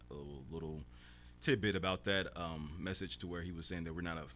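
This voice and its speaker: The man's pitch is very deep and low, yet his tone is bright and sharp. He speaks fairly quickly with vocal fry. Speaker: radio show guest, film industry worker. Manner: casual, conversational.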